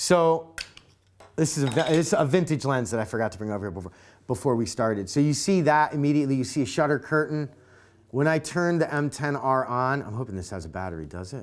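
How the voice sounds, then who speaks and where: Loud and very fast, a man speaks at a medium pitch with very wide pitch swings in a very clean recording with a silent background. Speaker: camera enthusiast show host. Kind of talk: casual chat.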